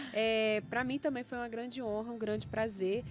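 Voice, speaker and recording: Music plays in the background as a woman talks at a fairly high pitch. She keeps a moderate pace and fairly even intonation. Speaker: science educator and entrepreneur. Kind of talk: podcast interview.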